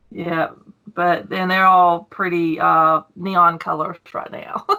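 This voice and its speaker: A very slow, monotone delivery with flat intonation, a bright, sharp tone and a Southern US accent. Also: woman. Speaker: YouTube coin collector. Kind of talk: casual interview. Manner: emotional, cries easily.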